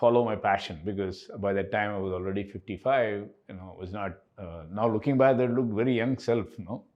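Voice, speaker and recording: At a moderate pace, a man uses a plain, everyday voice with fairly low pitch and ordinary pitch variation. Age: 60s. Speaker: company co-founder and CEO. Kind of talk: podcast interview.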